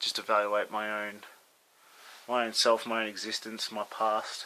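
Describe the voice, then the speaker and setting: A man speaks in an Australian accent at a medium pitch and a moderate pace. His tone is bright and sharp, with monotone, flat intonation. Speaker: vlogger, ski resort lift worker. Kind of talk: casual video diary. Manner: hesitant, many fillers.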